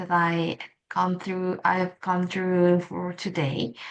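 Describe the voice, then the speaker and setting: A woman speaks at a medium pitch. The background is quiet. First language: not English. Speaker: English learner vlogger. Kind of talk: casual monologue vlog. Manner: halting, with self-corrections.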